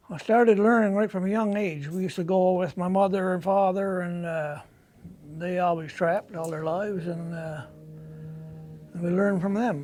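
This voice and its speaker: A high-pitched man's voice at a moderate pace, with fairly even intonation and audible room echo. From Labrador, Canada (North West River). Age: 60s. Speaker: hunter and trapper. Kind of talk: interview answering children's questions. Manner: casual, hesitant with fillers.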